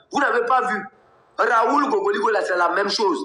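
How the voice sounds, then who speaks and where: Over noticeable background noise, a man with a Togolese accent speaks in a raised, projected voice with lively intonation. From Togo, Kabye. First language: Kabye (speaking French). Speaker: political activist and blogger. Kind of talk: live political commentary. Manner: animated.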